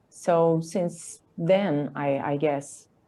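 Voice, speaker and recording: A woman's fairly low voice with fairly even intonation, in a Brazilian Portuguese accent. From Brazil, Campinas, São Paulo State. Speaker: artist and illustrator. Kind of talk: interview. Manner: halting.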